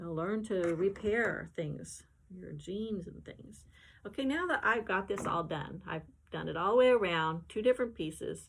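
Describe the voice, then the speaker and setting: At a moderate pace, a woman speaks with vocal fry and ordinary pitch variation. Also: medium pitch for a woman. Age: 70s. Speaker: artist and sewing tutor. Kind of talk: sewing tutorial with casual chat. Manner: casual, conversational.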